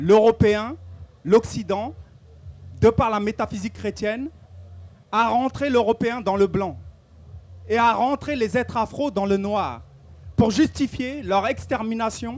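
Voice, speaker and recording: Speech comes at a very slow pace with long, frequent pauses. The recording is very clean and the background silent. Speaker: activist speaker. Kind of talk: public talk. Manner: hesitant with repetitions.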